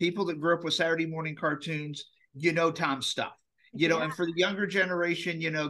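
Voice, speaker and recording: Against a quiet background, a man talks at a fairly quick pace with a high pitch and a bright, sharp, enthusiastic tone. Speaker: comic con organizer, podcast guest. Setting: podcast interview. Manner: fast talker.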